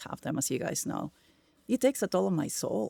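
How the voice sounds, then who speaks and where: In a Spanish accent, the speaker talks at a fairly quick pace with vocal fry, in a dry, close sound with no echo on a very clean recording with a silent background. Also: woman. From Peru. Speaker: tech executive. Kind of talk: podcast interview. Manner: gets loud when excited.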